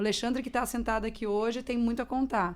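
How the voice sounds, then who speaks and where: Very clean recording with a silent background of a woman with an unremarkable speaking voice, fairly high in pitch and fairly even in intonation. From Mato Grosso do Sul, Brazil. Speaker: podcast host. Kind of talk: podcast interview.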